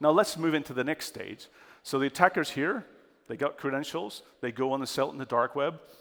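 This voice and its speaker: Speaking with a strong Irish accent, a man has a fairly high pitch. His pace is fairly quick. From Ireland. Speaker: cyber security expert. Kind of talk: conference talk. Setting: stage with audience.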